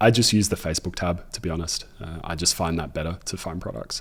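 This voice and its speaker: In a very clean recording with a silent background, a man with an Australian accent talks at a fairly quick pace. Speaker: e-commerce entrepreneur and YouTuber. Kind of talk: tutorial. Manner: casual.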